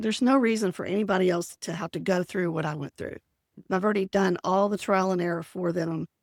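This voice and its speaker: A woman speaks in an unremarkable speaking voice at a medium pitch with ordinary pitch variation. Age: 60s. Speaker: productivity coach, retired teacher. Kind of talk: podcast interview.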